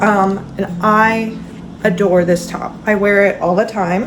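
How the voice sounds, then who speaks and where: A woman speaks very slowly at a medium pitch with monotone, flat intonation. Audible room echo and noticeable background noise fill the recording. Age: 20s. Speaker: knitting vlogger. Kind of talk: casual vlog chat. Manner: casual, filler-heavy.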